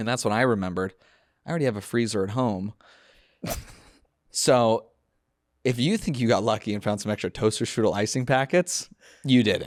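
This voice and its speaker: A man with a Californian accent talks at a fairly quick pace and a medium pitch, with an animated tone and ordinary pitch variation. He leaves long, frequent pauses in a very clean recording with a silent background. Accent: Californian American English. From US West Coast (San Fernando Valley, Los Angeles). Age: 30s. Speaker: comedian and podcast host. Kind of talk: casual chat.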